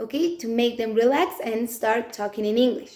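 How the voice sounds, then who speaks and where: A woman talks with a Mexican accent. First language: Spanish. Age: 20s. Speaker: English teacher. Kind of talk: self-introduction video.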